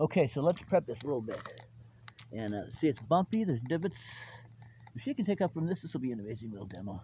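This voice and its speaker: Talking at a very fast pace, a man with a dark, mellow tone and vocal fry keeps a medium pitch that moves in very wide swings. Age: 60s. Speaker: RC hobbyist video host. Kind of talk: casual outdoor demo commentary. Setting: outdoors. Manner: animated.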